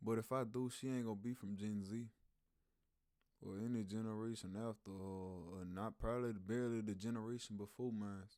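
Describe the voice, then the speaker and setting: A man with a Louisiana accent talks at a fairly quick pace in a fairly low, dark, mellow voice. His intonation is flat and monotone. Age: 20s. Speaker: YouTube reactor. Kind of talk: casual reaction commentary. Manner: slangy, uses big words.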